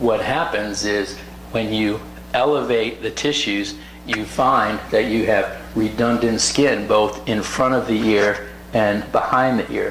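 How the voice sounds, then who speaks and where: Over noticeable background noise and audible room echo, a man with an American accent speaks at a very slow pace. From US South. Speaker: plastic surgeon. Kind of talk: educational talk.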